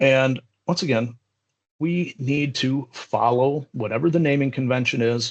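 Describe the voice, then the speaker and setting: In a plain, everyday voice, a man speaks fairly slowly at a medium pitch, his loudness very even and his intonation fairly even. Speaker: software trainer. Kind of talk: live tutorial. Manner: casual.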